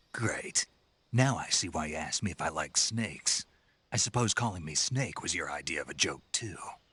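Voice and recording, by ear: In a put-on character voice, a man speaks at an extremely low pitch with a bright, sharp tone, a slightly husky edge and lively intonation. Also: moderate pace.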